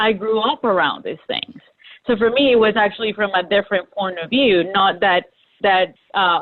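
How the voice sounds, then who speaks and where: Speaking at a moderate pace, a woman has a Spanish accent. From Colombia (Bogota and Medellin). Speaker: graphic designer. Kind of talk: panel discussion.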